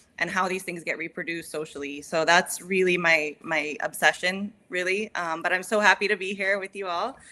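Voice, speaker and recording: In a very clean recording with a silent background, a woman talks fairly slowly at a medium pitch, with a bright, sharp tone, fairly even intonation and hardly any pauses. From California, US. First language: English (speaking Spanish). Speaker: psychotherapist, podcast co-host. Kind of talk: casual chat.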